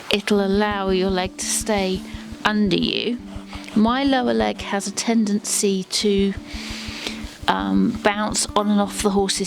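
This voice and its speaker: A woman at a medium pitch, music in the background. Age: 40s. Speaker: Paralympic dressage rider. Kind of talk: casual talk to camera, Q&A.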